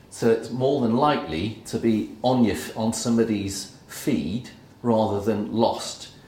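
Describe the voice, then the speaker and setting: A man speaks with ordinary pitch variation. The room echo is audible and the background noise is noticeable. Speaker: workshop presenter. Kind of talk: workshop talk.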